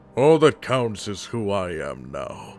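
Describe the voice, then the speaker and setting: A man speaks in a put-on character voice. Music plays in the background. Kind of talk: character voice demo reel. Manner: intense, threatening.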